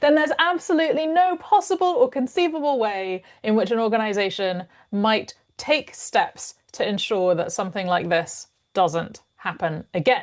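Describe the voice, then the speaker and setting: A woman with a British accent talks at a moderate pace and a fairly high pitch, her voice making very wide pitch swings against a quiet background. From United Kingdom. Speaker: mediator and organizational consultant. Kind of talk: podcast interview.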